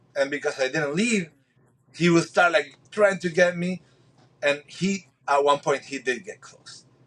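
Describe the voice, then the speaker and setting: In a Spanish accent, a man talks at a fairly slow pace and a fairly high pitch. His loudness swings widely. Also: ordinary pitch variation. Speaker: spearfisherman. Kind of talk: podcast interview. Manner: halting, many repeated words.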